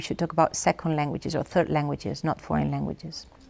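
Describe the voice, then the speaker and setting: A woman speaks with a Catalan accent. The recording is very clean, with a silent background. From Catalonia, Spain. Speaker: professor. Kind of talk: interview. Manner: hesitant, many fillers.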